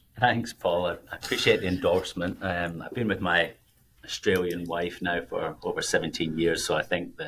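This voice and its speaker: At a moderate pace, a man talks in a Scottish accent. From Scotland. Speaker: financial planner, podcast co-host. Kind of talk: casual podcast chat.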